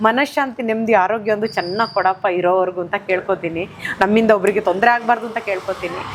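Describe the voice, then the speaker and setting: There is noticeable background noise behind this woman's voice. She speaks at a fairly high pitch with ordinary pitch variation. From Vitla near Mangalore, coastal Karnataka. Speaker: actress. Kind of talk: casual testimony to camera. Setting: at a temple shrine.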